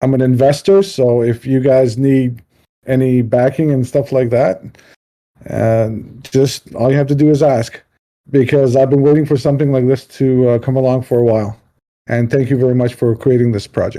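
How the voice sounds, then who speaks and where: A man's dark, mellow voice at medium pitch, very even in loudness, with fairly even intonation and a moderate pace. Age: 50s. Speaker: community member and player. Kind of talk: live Q&A on voice chat. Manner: halting, many fillers.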